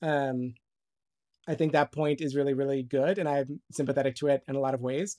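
A man talks fairly quickly in a plain, everyday voice, fairly high in pitch, on a very clean, dry, close recording with no echo and a silent background. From US, Romanian immigrant family. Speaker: graduate student, kidney donor. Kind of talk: casual chat.

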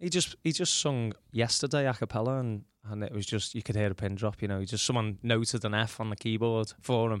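A man's medium-pitched voice at a fairly quick pace, hardly any pauses and ordinary pitch variation, in a very clean recording with a silent background. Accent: Liverpool. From Liverpool, England. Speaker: tribute act musician. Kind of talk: interview. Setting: studio.

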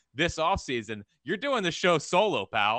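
A man speaks with an American accent at a fairly quick pace. Vocal fry runs through his voice. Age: 20s. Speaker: sports radio host. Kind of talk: casual chat. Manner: animated.

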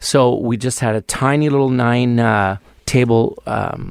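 Delivery runs at a fairly slow pace with fairly even intonation. The recording is very clean, with a silent background. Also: man. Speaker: restaurant owner. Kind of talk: radio interview. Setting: radio studio. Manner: halting.

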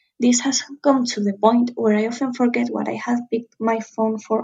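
With a Spanish accent, a woman talks at a moderate pace in a fairly high, somewhat breathy voice with fairly even intonation. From Spain. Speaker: caller, law student. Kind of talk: recorded listener question.

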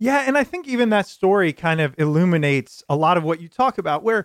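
In a very clean recording with a silent background and a dry, close sound free of echo, a man speaks at high pitch with lively intonation. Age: 20s. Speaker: podcast host. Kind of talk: interview; show intro.

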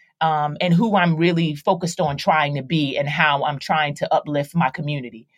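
Somewhat breathy, a woman's voice carries an American accent. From Philadelphia, US East Coast. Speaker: actress and rapper. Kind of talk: casual interview.

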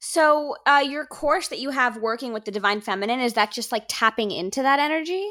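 A woman uses a raised, projected voice with hardly any pauses. Her pitch is high, her intonation lively and her tone bright and sharp. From Miami, Cuban-American. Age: 20s. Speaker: podcast host. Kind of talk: interview.

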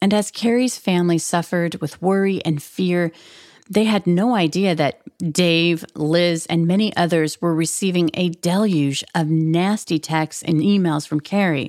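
A woman with an American accent and an ordinary speaking voice, fairly low in pitch, at a fairly slow pace, with fairly even intonation and very even loudness, on a very clean recording with a silent background. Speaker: true crime podcast host. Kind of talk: true-crime narration. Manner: measured, storytelling, suspenseful.

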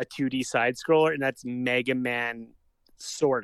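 A man with a Canadian accent has a plain, everyday voice at a fairly high pitch. His intonation is fairly even, and the sound is dry and close with no echo. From Calgary, Canada. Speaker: comedian. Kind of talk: casual chat.

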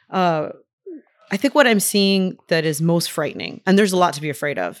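A woman speaks at a fairly quick pace in an ordinary speaking voice, with ordinary pitch variation. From Hialeah, Miami, Florida (Cuban-American). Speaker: writer and English professor. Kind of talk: interview. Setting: bookstore recording.

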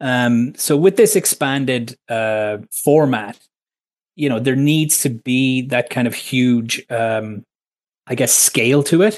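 Against a quiet background, a man with an Irish accent speaks at a very slow pace with ordinary pitch variation. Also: medium pitch for a man. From Ireland. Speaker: sports journalist. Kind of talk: radio interview.

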